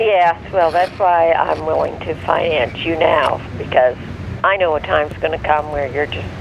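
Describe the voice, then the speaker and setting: Moderately paced speech from a man with a fairly high pitch, over clearly audible background noise. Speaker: parent of the host. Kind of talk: casual chat. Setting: phone call. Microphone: phone line recorded via earpiece.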